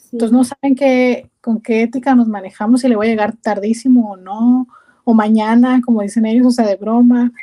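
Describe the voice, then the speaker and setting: This woman's voice has a fairly high pitch and a dark, mellow tone, delivered at a moderate pace. Her intonation stays monotone and flat, while her loudness swings widely. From Mexico, Culiacán, Sinaloa. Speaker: immigrant interviewee. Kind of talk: interview.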